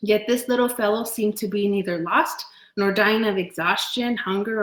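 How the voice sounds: Natural voice for reading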